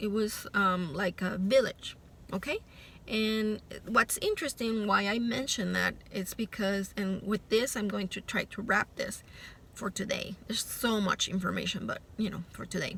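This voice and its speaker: A woman in a Puerto Rican accent speaks at a moderate pace and medium pitch, her intonation fairly even. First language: Spanish. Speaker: spiritual vlogger. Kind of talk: casual monologue vlog. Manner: hesitant, with fillers.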